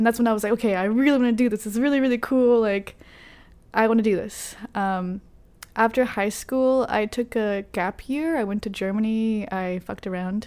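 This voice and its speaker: A woman with an American accent speaks in an ordinary speaking voice at a fairly high pitch. Her intonation is fairly even, and her pace is fairly quick. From Texas, Carrollton near Dallas. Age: 20s. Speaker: journalist. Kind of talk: casual interview.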